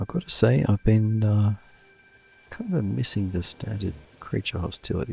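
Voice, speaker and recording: Soft-spoken and fairly low in pitch, a man talks at a moderate pace in dry, close sound with no echo while music plays in the background. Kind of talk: soft-spoken relaxed gaming commentary for sleep. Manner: soft-spoken, easygoing.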